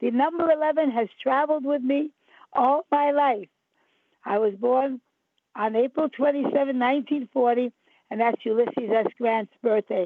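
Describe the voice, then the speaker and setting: A woman speaks at a moderate pace with a high pitch and ordinary pitch variation. Her loudness stays very even. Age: 80s+. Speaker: psychic and mystic. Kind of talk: interview. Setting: radio show.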